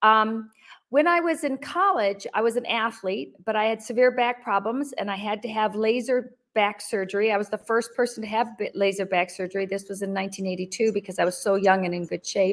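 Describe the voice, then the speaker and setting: At a moderate pace, a woman speaks with an American accent. Her pitch is fairly high, with ordinary variation. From Michigan, US. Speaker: interview guest, expat in Africa. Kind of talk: interview. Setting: remote video call.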